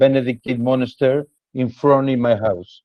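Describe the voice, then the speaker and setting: In a Spanish accent, a man talks at medium pitch. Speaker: cheese specialist. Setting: video call. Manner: halting. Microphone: bad internet connection.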